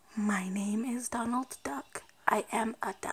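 A female-sounding put-on character voice speaks at a fairly high pitch. The pace is fairly slow.

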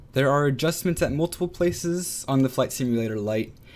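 Music plays in the background as the speaker talks at a fairly quick pace with lively intonation. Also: man. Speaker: flight simulator reviewer. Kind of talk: product review narration. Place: home room. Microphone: studio mic.

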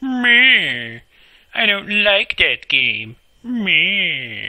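This is a put-on character voice. The pitch sits fairly high. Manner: dismissive, mocking.

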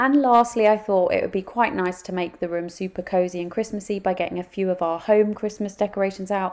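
A woman speaks at a fairly quick pace. Her pitch is medium and her intonation fairly even. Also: slightly mellow tone.

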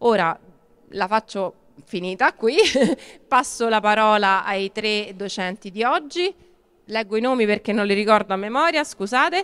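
Her voice fairly high in pitch, a woman speaks at a fairly slow pace with lively intonation and long, frequent pauses. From Rome; Italy. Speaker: local government cultural official; event host introducing lecturers. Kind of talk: event introduction. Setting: outdoor market event. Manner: hesitant. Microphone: handheld.

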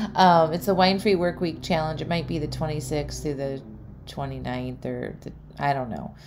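Room echo is clearly heard as a woman speaks at a medium speed. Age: 40s. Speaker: podcast host and life coach. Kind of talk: solo podcast monologue. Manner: casual, filler-heavy.

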